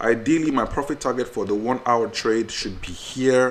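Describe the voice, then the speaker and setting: A man at medium pitch with ordinary pitch variation. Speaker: trading educator. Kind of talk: tutorial. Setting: screen recording. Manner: fast.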